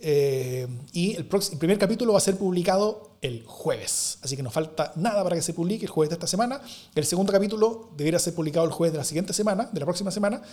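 A man talks very fast in a high voice with a dark, mellow tone. His intonation is lively. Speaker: podcast co-host. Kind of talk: casual political discussion. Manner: halting, repeats words.

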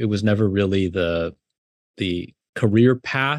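Recorded dry and close with no echo over a quiet background, a man with an American accent speaks with ordinary pitch variation. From US West Coast (South Bay, California). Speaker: writer and professor. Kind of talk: interview conversation.

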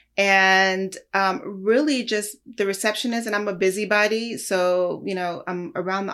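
A woman speaks at a moderate pace with an American accent and fairly even intonation. Hers is an unremarkable speaking voice. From Los Angeles. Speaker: music industry executive. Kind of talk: interview. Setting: video call.

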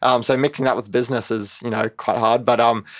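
A man with an unremarkable speaking voice, medium pitch and a fairly quick pace. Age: 20s. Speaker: competitive cyclist and young entrepreneur. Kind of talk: interview. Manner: casual, many fillers.

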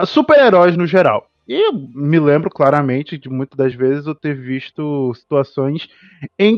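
A normal speaking voice from a man, fairly high-pitched, with ordinary pitch variation and a fairly slow pace. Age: 20s. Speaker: podcast host. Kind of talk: casual chat. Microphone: connection dropping out.

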